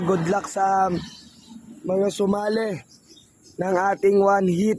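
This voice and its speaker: A man is speaking here. His pitch sits high. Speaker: pigeon racing vlogger. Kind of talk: casual live vlog commentary.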